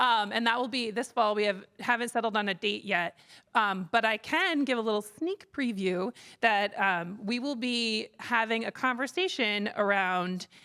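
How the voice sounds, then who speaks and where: Loud and bright with a sharp tone, a woman speaks at a moderate pace in a fairly high voice with ordinary pitch variation. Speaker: conference organizer, executive director. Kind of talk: closing remarks at a conference. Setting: conference stage with live audience. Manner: hesitant, many fillers.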